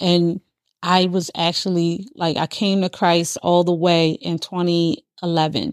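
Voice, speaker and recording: Fairly low in pitch, a woman uses a normal speaking voice at a fairly slow pace with fairly even intonation. The sound is dry and close with no echo, on a very clean recording with a silent background. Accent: American. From Baltimore, US. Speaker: life coach. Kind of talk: interview.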